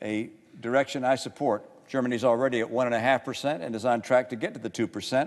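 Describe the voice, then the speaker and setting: Here a man speaks with an American accent at a fairly quick pace. He has an unremarkable speaking voice at medium pitch. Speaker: U.S. senator. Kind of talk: Senate floor speech.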